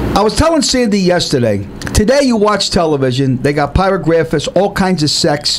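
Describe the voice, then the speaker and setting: Over noticeable background noise, a man speaks at a fairly quick pace with an animated tone and lively intonation. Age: 60s. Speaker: co-host of a variety talk show. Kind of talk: casual chat.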